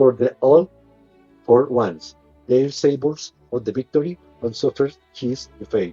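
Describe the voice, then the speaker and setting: With music in the background, the speaker talks in a Colombian accent at a fairly slow pace, with ordinary pitch variation and long, frequent pauses. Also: man, medium pitch for a man. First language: Spanish. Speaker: English learner. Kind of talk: audiobook reading.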